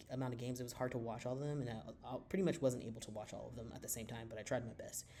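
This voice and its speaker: A man's dark, mellow voice at medium pitch, heard with audible room echo. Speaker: sports commentary youtuber. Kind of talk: casual commentary. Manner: fast; loud.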